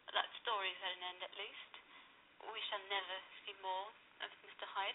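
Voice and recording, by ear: Words are read aloud in a natural voice.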